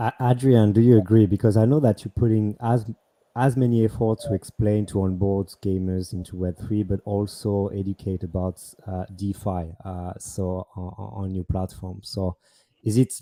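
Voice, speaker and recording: A man's fairly low, dark, mellow voice with a French accent, fairly even intonation and a moderate pace, in a very clean, dry, close recording with a silent background and no echo. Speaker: panel moderator. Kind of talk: panel discussion.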